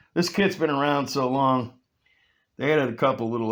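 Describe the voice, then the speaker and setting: This man has an ordinary speaking voice at medium pitch, talking at a fairly quick pace with lively intonation. The recording is very clean, with a silent background. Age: 60s. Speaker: scale model builder and reviewer. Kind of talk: casual product review, unboxing.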